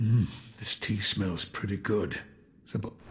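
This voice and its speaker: A put-on character voice speaks at a fairly slow pace. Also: man, fairly low pitch for a man. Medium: video game. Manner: slow, reflective, gravelly storytelling.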